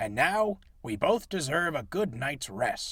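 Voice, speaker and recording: A man puts on a character voice, high in pitch with very wide pitch swings, speaking at a fairly slow pace. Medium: read story.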